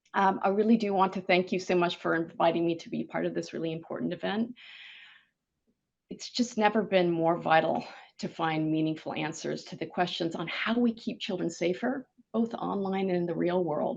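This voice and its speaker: A woman with an American accent speaks in an ordinary speaking voice, pitched fairly low, with ordinary pitch variation at a moderate pace against a quiet background. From US Pacific Northwest, Seattle. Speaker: government online safety regulator. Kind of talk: conference keynote talk.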